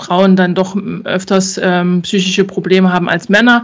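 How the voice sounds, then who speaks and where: A woman's medium-pitched voice at a moderate pace. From Thuringia, Germany. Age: 40s. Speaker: insurance broker. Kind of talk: interview. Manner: hesitant, many filler sounds.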